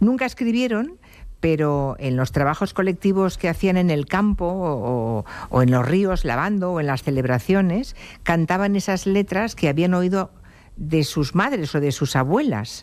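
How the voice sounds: A man speaks at a moderate pace with a high pitch and lively intonation.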